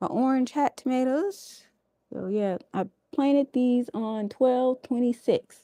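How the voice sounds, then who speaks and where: Recorded dry and close with no echo, a woman with a high voice and a dark, mellow tone speaks fairly slowly with ordinary pitch variation. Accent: American. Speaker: home gardening livestreamer. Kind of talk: casual livestream garden tour. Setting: indoors, live stream. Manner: animated.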